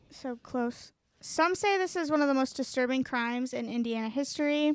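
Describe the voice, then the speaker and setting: Her pitch high, this woman talks with ordinary rises and falls. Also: moderate pace. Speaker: true crime podcast co-host. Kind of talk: casual true crime storytelling. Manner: reading from notes with hesitations.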